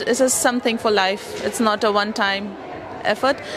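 With ordinary pitch variation, the voice has a dry sound with no echo, set against noticeable background noise. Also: woman. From India. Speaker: customer testimonial speaker; speaker. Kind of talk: testimony. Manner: halting. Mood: reflective, earnest. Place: hall. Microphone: handheld.

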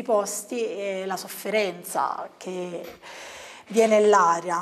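A woman with fairly even intonation. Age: young. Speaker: book reviewer. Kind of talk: book review monologue. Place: studio.

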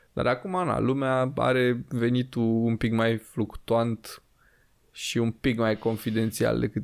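A man's fairly slow delivery, with fairly even intonation, stands out against a quiet backdrop. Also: very even loudness. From Romania. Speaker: podcast host. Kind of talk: casual chat. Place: studio. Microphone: studio mic.

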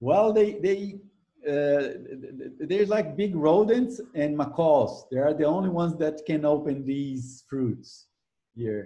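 Against a quiet background, a man with a Brazilian accent speaks very slowly in a dark, mellow tone, fairly high in pitch, with lively intonation. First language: Portuguese. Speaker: ecology professor. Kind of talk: interview. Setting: video call. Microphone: video call.

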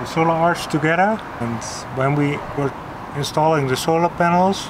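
Against noticeable background noise, a man talks fairly slowly. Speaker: sailing vlogger. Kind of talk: casual explanation of boat work. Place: boat.

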